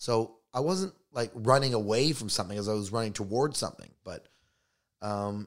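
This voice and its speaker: In a Canadian accent, a man with medium pitch speaks at a moderate pace in an unremarkable speaking voice, on a very clean recording with a silent background. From Canada, Toronto. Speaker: stand-up comedian. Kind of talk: casual chat.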